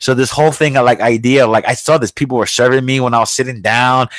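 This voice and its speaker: An American-accented man talks at a very fast pace, with a dry, close sound and no echo. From New York. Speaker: podcast host. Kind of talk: casual chat. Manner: loud.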